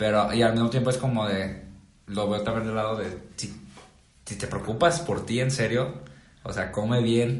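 A medium-pitched man at a moderate pace, with ordinary pitch variation, long, frequent pauses, audible room echo and noticeable background noise. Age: 20s. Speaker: video editor. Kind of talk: casual chat.

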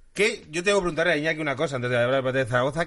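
Lively intonation runs through this very fast delivery. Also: man, quiet background. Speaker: football podcast host. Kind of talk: casual chat.

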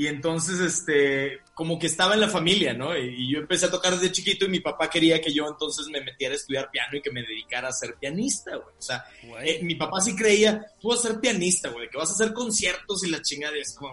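This man's pitch is high, and his intonation is lively. He talks at a fairly quick pace with hardly any pauses. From Mexico, Monterrey. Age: 30s. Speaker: comedian and podcaster. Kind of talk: casual chat.

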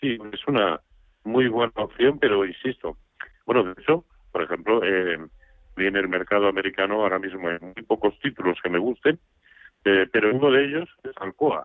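A man with a normal speaking voice talks at a moderate pace, fairly low in pitch, with lively intonation. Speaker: stock market analyst. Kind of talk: radio market advice. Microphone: line cutting out.

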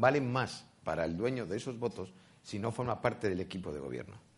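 At a fairly quick pace, a man with a plain, everyday voice speaks at a medium pitch. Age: 60s. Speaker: politician. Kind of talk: political debate.

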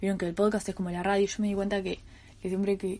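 Against a quiet background, a woman with a Uruguayan accent speaks at a medium pitch. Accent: Uruguayan Rioplatense Spanish. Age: 20s. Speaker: podcast host, student. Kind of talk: casual monologue. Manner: hesitant, many fillers and repetitions.

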